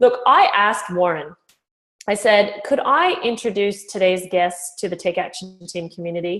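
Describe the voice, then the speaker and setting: A woman of medium pitch speaks at a moderate pace with ordinary pitch variation. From Canada. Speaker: interviewer. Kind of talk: interview. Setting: call.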